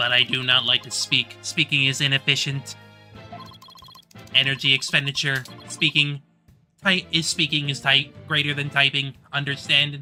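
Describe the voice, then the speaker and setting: A man puts on a robotic character voice, fairly high in pitch and monotone, with flat intonation, at a moderate pace. He leaves long, frequent pauses, and faint music plays in the background. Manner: terse, flat.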